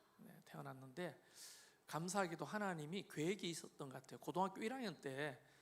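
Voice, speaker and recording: With a Gyeongsang accent, a man speaks at a moderate pace in a high voice with lively intonation. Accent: Gyeongsang dialect accent, noticeable. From Korea, Gyeongju, North Gyeongsang. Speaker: pastor. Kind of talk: interview testimony.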